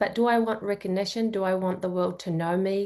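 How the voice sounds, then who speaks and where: A woman with an Australian accent speaks at medium pitch over a quiet background. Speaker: psychology grad student. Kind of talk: coaching session.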